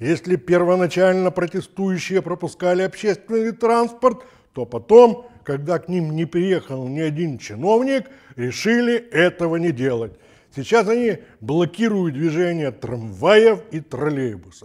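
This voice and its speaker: Over a quiet background, a man speaks at a fairly slow pace, his pitch swinging very widely. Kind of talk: commentary. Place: studio. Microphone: lapel.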